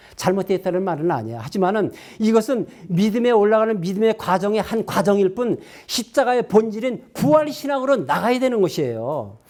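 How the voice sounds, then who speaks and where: In a very clean recording with a silent background, a man speaks high-pitched at a fairly quick pace, with an animated tone and lively intonation. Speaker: pastor. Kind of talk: sermon. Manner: fast.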